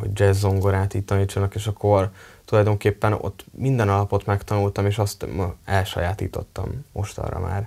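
In a monotone with flat intonation, a man speaks at a moderate pace, his fairly low voice somewhat breathy with a dark, mellow tone. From Hungary, Tiszakécske near Kecskemét; Hungary. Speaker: drummer and multi-instrumentalist; interviewee. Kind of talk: interview. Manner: halting. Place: studio. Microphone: lapel.

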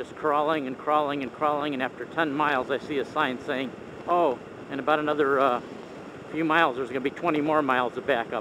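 Noticeable background noise surrounds a man speaking at a fairly quick pace in a monotone, flat intonation, the sound dry with no echo. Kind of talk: casual ride vlog narration. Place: motorbike. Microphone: helmet.

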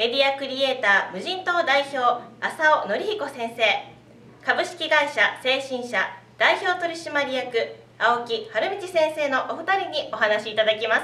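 Speaking at a fairly slow pace, a woman uses a raised, projected voice pitched high, with audible room echo around her. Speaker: voice actor. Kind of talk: event announcement / seminar promotion. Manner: polite, clear. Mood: polite, friendly. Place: home room. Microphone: webcam.

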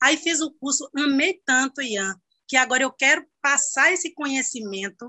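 Against a quiet background, a woman speaks at a moderate pace in a high voice. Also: ordinary pitch variation. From Brazil. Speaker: hairdresser. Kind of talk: workshop participant question. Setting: video call. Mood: enthusiastic, grateful. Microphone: video call.

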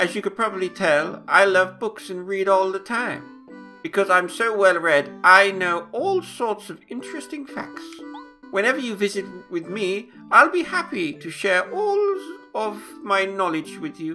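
A man's high-pitched, put-on character voice, raised and projected at a moderate pace over clear background music. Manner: pompous, storytelling.

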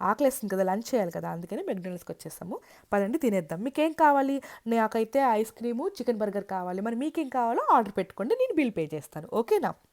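Dry and close with no echo, a woman's fairly high voice moves in very wide pitch swings. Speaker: travel vlogger. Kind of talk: travel vlog narration. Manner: animated.

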